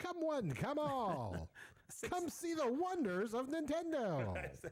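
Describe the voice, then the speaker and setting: Using a put-on character voice, a man speaks at an extremely high pitch and a very slow pace, with very wide pitch swings and very even loudness. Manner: showy, hawking.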